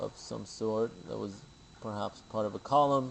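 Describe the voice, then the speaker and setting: Pitch varies in an ordinary way as a plain, everyday voice proceeds at a fairly slow pace. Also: man. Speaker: video blogger. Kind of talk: screen-share commentary.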